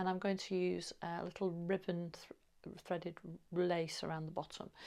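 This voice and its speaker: In a very clean recording with a silent background, a woman speaks with an English accent at a medium pitch. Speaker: sewing vlogger. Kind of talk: casual chat. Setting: home sewing room. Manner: halting.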